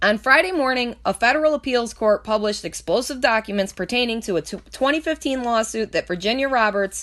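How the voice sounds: A woman at a fairly high pitch, fairly bright in tone, at a fairly quick pace with few pauses and ordinary pitch variation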